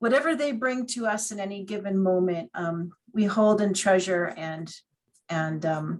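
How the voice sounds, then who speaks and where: This woman has an ordinary speaking voice at a medium pitch. Her intonation is lively. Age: 60s. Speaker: hospital chaplain and priest. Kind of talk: seminar talk.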